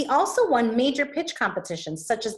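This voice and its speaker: A woman's voice is somewhat breathy. The background is quiet. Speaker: interview host. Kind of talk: reading an introduction, then asking interview questions. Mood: warm, laughing. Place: home room. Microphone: video call.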